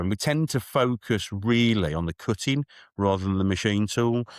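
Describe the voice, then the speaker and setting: A man's voice with ordinary pitch variation, a dry, close sound with no echo, and a very clean recording with a silent background. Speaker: machine tool sales executive. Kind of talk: podcast interview. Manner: frequent fillers and self-repetition.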